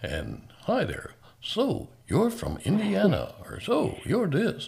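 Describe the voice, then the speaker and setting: At a very slow pace, the voice comes across as a put-on character. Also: man, high pitch for a man. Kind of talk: smooth announcer voice, canned.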